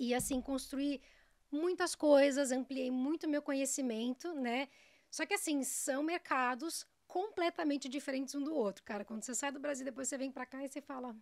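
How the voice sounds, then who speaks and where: Against a quiet background, a woman with a high pitch talks at a moderate pace. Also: ordinary pitch variation. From São Paulo city, Brazil. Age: 30s. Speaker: dog groomer. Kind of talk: casual interview. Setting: studio. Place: studio. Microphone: studio mic.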